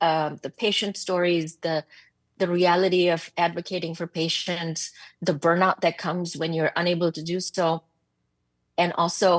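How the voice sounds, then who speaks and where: A woman with a fairly low voice and a non-native accent speaks with a dry, close sound free of echo against a quiet background. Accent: foreign. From abroad, developing country. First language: not English. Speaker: psychiatrist, medical officer. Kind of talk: committee testimony. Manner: blunt and passionate; halting, many fillers and repeats.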